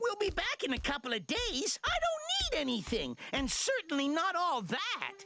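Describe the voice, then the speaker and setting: An extremely high cartoonish character voice swings very widely in pitch. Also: moderate pace. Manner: defensive, flustered.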